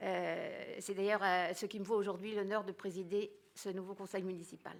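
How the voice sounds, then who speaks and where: A woman talks at a moderate pace. Her intonation stays monotone and flat. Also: medium pitch for a woman. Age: 80s+. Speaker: opposition city councillor. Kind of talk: formal speech at council meeting. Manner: formal. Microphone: echoing sound system.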